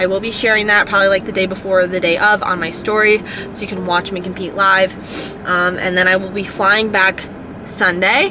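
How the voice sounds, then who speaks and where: A woman with an American accent speaks at a fairly quick pace. Her intonation is monotone and flat, with noticeable background noise. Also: medium pitch for a woman. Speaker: powerlifter vlogger. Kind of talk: casual vlog talk to camera. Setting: gym.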